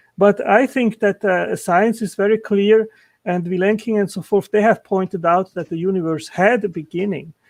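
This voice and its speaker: A man with a non-native accent speaks at a moderate pace and a high pitch, with fairly even intonation and a dry, close sound with no echo. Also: quiet background. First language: not English. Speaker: intelligent design apologist. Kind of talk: heated debate. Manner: halting.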